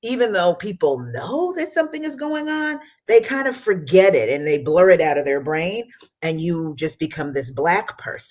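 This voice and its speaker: The speaker holds a moderate pace with an American accent. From US. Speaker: immigrant rights organization director. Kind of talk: radio interview.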